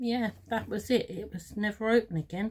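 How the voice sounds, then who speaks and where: The voice is somewhat breathy. It moves at a fairly slow pace. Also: woman. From London, England. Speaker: craft teacher and video maker. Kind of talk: tutorial. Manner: casual, hesitant with fillers.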